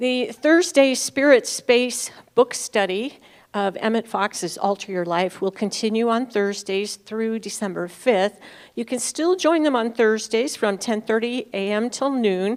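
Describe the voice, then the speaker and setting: At a fairly slow pace, a woman with a plain, everyday voice speaks in a fairly high pitch with ordinary pitch variation, on a very clean recording with a silent background. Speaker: church announcements speaker. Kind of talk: church announcements.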